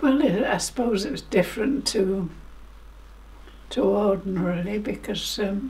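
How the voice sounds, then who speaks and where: A woman at medium pitch and ordinary pitch variation, fairly slow with long, frequent pauses, over noticeable background noise. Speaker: World War II civilian witness. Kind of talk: interview answer.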